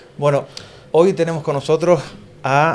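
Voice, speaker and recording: A man speaks at a moderate pace with ordinary pitch variation. He has a normal speaking voice. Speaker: podcast host. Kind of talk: casual podcast talk.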